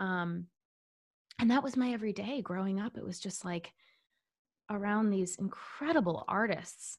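A woman speaks at a moderate pace in a somewhat breathy, medium-pitched voice with ordinary pitch variation and long, frequent pauses. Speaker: actress and writer. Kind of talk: casual interview chat. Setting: video call.

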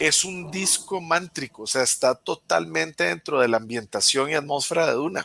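A man with a Costa Rican accent speaks in a fairly high pitch with lively intonation. His tone is bright and sharp, with vocal fry. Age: 40s. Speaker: guest film fan. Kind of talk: casual chat.

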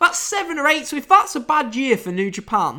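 A man with a British accent speaks in a raised, projected voice with a bright, sharp tone. His pitch swings very widely, on a very clean recording with a silent background. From United Kingdom. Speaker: wrestling podcast host. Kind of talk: casual podcast recap and review. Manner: casual, chatty.

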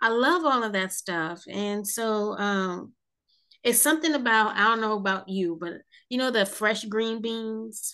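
Against a quiet background, a woman with an American accent speaks in a bright, sharp tone with ordinary pitch variation. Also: fairly high pitch for a woman. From South Jersey, US. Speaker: podcast host. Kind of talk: interview.

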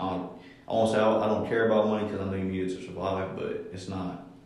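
Over noticeable background noise and audible room echo, a man with an American accent speaks at a fairly quick pace in a very deep, low pitch with a monotone, flat intonation. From Columbus, Ohio (east side). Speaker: rapper and golfer. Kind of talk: casual chat.

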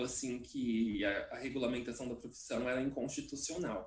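The voice belongs to a man. His pitch is medium. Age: 30s. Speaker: journalist and academic. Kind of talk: casual chat.

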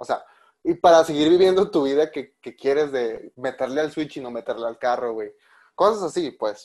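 Against a quiet background, a man with a fairly high pitch speaks at a moderate pace, his intonation lively and his loudness swinging widely. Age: 20s. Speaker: podcast host. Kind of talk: casual chat.

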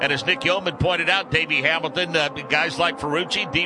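A man talks in a high voice over noticeable background noise. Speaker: radio network lead announcer. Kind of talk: live radio race broadcast anchoring.

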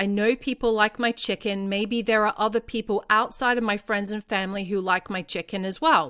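At a moderate pace, the speaker uses fairly even intonation and a bright, sharp tone, in a dry, close sound with no echo on a very clean recording with a silent background. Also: woman, fairly high pitch for a woman. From Australia. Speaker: parenting podcast host. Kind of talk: solo podcast monologue.

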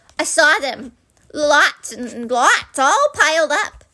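A woman puts on a squeaky character voice, high-pitched with lively intonation. She speaks at a very slow pace. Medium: read story. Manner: timid, anxious.

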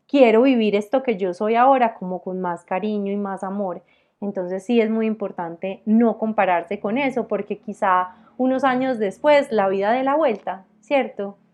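In a plain, everyday voice, a woman speaks at a fairly high pitch and a moderate pace, with ordinary pitch variation against a quiet background. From Colombia, Armenia (Quindío, coffee region). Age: 30s. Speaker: entrepreneur. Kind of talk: interview.

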